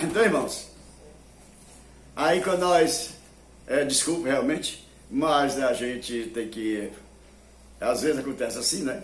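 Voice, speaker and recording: A man with a fairly high voice talks at a very slow pace, leaving long and frequent pauses, his intonation lively, with noticeable background noise and audible room echo. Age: 80s+. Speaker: preacher. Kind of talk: sermon. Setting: television broadcast.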